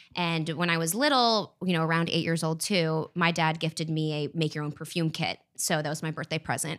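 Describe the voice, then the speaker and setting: A woman with an unremarkable speaking voice, fairly low-pitched, in an American accent, hardly any pauses, on a very clean recording with a silent background. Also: fairly even intonation, fairly quick pace. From France, raised in US. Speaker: fragrance development manager.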